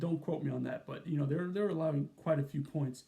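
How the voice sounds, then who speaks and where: The speech moves at a very fast pace. Its pitch varies in an ordinary way. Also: man. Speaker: college football YouTuber. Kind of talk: sports analysis monologue. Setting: at his mom's home. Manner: casual, filler-heavy.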